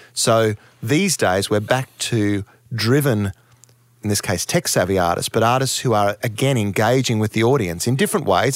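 A fairly low-pitched man with an Australian accent, fairly quick pace and ordinary pitch variation, on a very clean recording with a silent background. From Townsville, Queensland, Australia. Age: 50s. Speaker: music manager. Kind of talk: interview.

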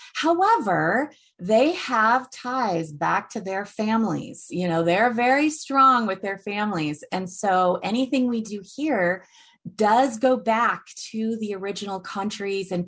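Using a plain, everyday voice, a woman speaks at a medium pitch and a fairly slow pace with lively intonation. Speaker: author and course creator. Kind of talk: interview conversation.

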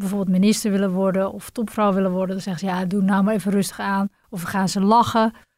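A woman talks at a medium pitch with fairly even intonation in a plain, everyday voice. The recording is very clean, with a silent background. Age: 40s. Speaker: businesswoman, travel agency director. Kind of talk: interview.

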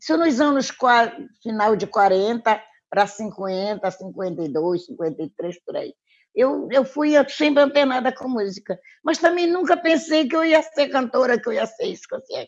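At a fairly slow pace, a woman talks in a high pitch. Her voice rises and falls in very wide swings. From Pará, Brazil (Marajó interior). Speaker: singer. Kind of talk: casual chat.

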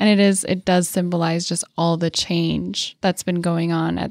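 An ordinary speaking voice with an American accent, moderate pace and fairly even intonation, dry and close with no echo on a very clean recording against a silent background. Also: woman. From Colorado. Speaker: North County reporter. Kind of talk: casual podcast chat.

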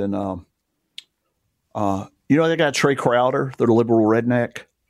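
Recorded very cleanly over silence, a man with an Alabama accent speaks at a medium pitch and moderate pace, with ordinary pitch variation. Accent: US Southern (Alabama). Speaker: gospel radio DJ. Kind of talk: casual chat. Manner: halting, many fillers.

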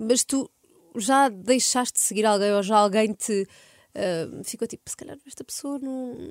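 A woman's unremarkable speaking voice, fairly high in pitch, with ordinary pitch variation, a fairly slow pace, big swings in loudness and a dry, close sound with no echo. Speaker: podcast host. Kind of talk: casual interview.

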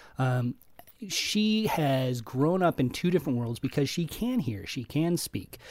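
A man talks in a normal speaking voice, pitched fairly high for a man. His pace is fairly slow and his intonation lively. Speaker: podcast co-host, film reviewer. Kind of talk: podcast panel discussion.

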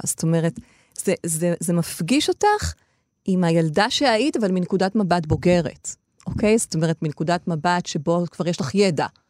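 Speech comes at a fairly slow pace with ordinary pitch variation. The recording sounds dry and close, with no echo. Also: woman. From Israel, Ashkelon. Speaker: cultural researcher and social activist. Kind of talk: interview. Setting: studio. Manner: halting, many repetitions.

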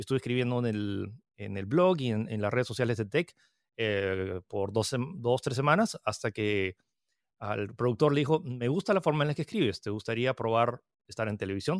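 An unremarkable speaking voice moves at a moderate pace with lively intonation, heard dry and close with no echo on a very clean recording with a silent background. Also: man, medium pitch for a man. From Peru. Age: 30s. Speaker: tech content creator. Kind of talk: interview.

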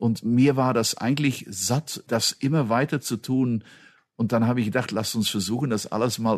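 A man with a plain, everyday voice, medium in pitch with ordinary pitch variation, at a moderate pace over a quiet background. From Belgium. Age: 50s. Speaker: automotive executive. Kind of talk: interview.

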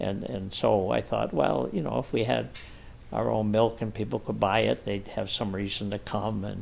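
Lively intonation at a moderate pace, with vocal fry. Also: man. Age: 70s. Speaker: farmer and real estate developer. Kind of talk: interview.

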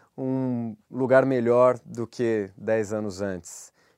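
This very clean recording has a silent background and a dry, close sound with no echo. A man speaks in a dark, mellow tone at a medium pitch with ordinary pitch variation. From Brazil, Minas Gerais. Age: 30s. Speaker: podcast host. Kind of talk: interview. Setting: studio.

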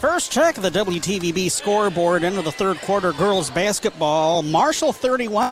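A high-pitched male voice, very slow and with lively intonation, over music in the background. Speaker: radio play-by-play announcer. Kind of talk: live sports commentary. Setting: gymnasium, radio broadcast table.

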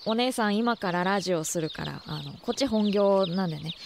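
There is noticeable background noise as a woman speaks in a medium-pitched voice with lively intonation. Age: 20s. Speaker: radio host. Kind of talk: casual chat. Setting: studio.

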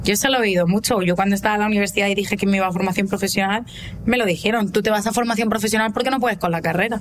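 Over noticeable background noise, a woman with a medium pitch speaks at a very fast pace. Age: 20s. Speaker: vocational automotive student. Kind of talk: interview.

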